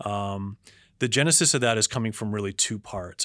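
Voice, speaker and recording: A man with an ordinary speaking voice, fairly low in pitch and fairly even in intonation, on a very clean recording with a silent background. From Canada, Toronto. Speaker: investment strategist. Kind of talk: interview.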